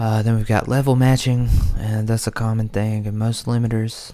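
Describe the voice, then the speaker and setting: Soft-spoken and relaxed, a man talks in a flat, monotone intonation on a very clean recording with a silent background. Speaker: music producer and livestream host. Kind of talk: live stream tutorial chat. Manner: casual, relaxed.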